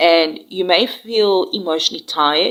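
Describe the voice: A woman's fairly bright, nasal voice with fairly even intonation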